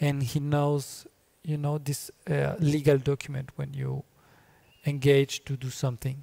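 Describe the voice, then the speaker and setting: A man's fairly high, somewhat breathy voice has a dark, mellow tone and monotone, flat intonation. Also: fairly slow pace. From Colombia. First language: Spanish. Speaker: filmmaker. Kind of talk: interview. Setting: festival venue talk. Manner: halting, many fillers.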